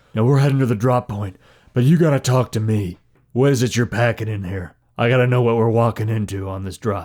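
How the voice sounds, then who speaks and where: Using a put-on character voice, a man talks at a fairly quick pace and a medium pitch. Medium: actual play. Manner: blunt, forceful.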